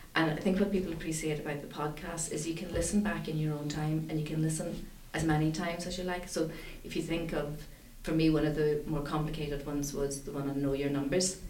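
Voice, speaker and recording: Very fast, monotone, flat speech from a woman with very deep, low pitch, over noticeable background noise. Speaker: charity director. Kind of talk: casual chat.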